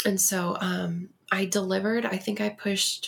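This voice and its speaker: An ordinary speaking voice, a woman with an American accent, medium pitch and ordinary pitch variation. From Texas. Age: 30s. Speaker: guest sharing loss story. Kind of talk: interview.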